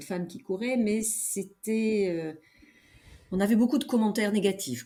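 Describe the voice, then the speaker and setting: A woman is speaking. Her pace is moderate. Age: 70s. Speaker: veteran amateur trail runner. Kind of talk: interview conversation. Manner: hesitant, many fillers.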